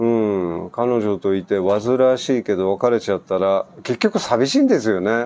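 Ordinary pitch variation in a man's dark, mellow voice. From Japan. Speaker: expat vlogger. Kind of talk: casual vlog answering listener mail. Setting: outdoor gazebo at home. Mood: relaxed, reflective. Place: garden. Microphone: lapel.

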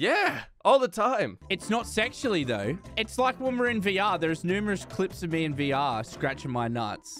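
Moderate pace over clear background music, with a dry, echo-free sound. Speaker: remote guest. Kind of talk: casual banter interview. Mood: joking, laughing. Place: home room. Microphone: studio mic.

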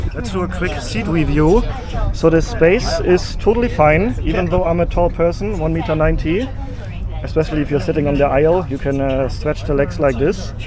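Noticeable background noise sits behind a dry sound with no echo. A man talks at a fairly quick pace. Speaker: travel vlogger. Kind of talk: casual vlog chat. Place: train. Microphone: phone near.

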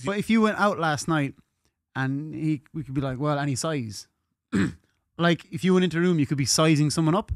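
With an Irish accent, a man at a fairly high pitch talks at a fairly quick pace with ordinary pitch variation, in a dry sound with no echo over a quiet background. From Ireland. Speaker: podcaster. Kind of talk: casual podcast conversation. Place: studio. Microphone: studio mic.

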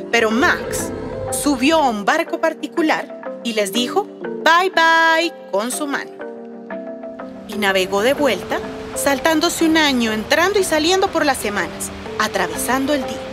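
Clear music plays behind a woman whose high voice makes very wide pitch swings at a fairly slow pace. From Colombia. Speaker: children's storyteller; voice actor. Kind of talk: read-aloud children's story. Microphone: phone near.

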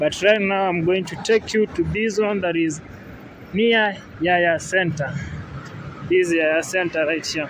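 Over light background noise, a man with a high pitch talks at a fairly slow pace in fairly even intonation, taking long, frequent pauses. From Kenya. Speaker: travel vlogger. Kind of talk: vlog walking tour narration. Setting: outdoors. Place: street. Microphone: phone near.

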